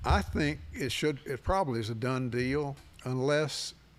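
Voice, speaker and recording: A man with a Tennessee accent at a fairly slow pace. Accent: US Southern (Tennessee). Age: 80s+. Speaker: sports radio host. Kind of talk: interview.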